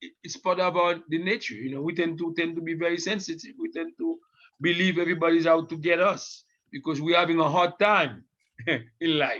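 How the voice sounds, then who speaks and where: Fairly quick and high-pitched, a man talks in a bright, sharp tone with ordinary pitch variation. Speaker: community leader. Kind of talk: group discussion. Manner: halting.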